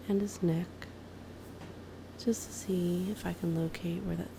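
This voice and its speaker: A woman speaks in a soft-spoken voice. She leaves long, frequent pauses. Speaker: amateur massage ASMR creator. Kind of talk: ASMR massage narration.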